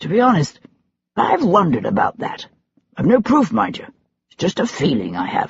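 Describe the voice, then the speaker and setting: A gruff, raspy put-on character voice at middle pitch, moderate in pace, with long, frequent pauses. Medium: read story. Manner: gruff, blunt.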